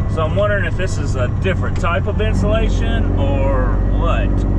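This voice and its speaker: A man speaks at a moderate pace, the sound dry with no echo, over loud background noise. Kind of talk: casual vlog chat. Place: car. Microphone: camera far.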